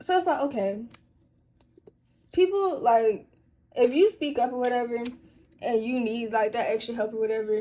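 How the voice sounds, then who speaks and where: Her voice is high-pitched with a dark, mellow tone, and this woman uses lively intonation while leaving long, frequent pauses. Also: moderate pace. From Atlanta, US South. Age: young. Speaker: YouTuber and college student. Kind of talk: casual Q&A chat. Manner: casual, conversational.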